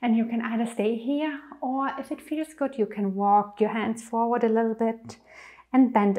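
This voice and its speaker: A woman at a moderate pace, with fairly even intonation. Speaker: yoga instructor. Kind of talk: tutorial. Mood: calm, gentle. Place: home room.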